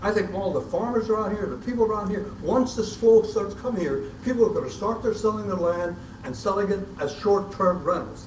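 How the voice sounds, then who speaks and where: Through noticeable background noise and audible room echo, a man with a high voice speaks at a fairly quick pace with ordinary pitch variation. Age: 80s+. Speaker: concerned citizen at public meeting. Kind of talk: public comment. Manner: emotional; halting, repeats words.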